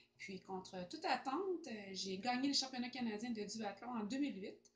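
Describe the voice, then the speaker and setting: A woman's somewhat breathy voice moves at a fairly slow pace with lively intonation. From Quebec. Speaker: amateur athlete. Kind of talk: testimonial. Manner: hesitant. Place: home room. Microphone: camera far.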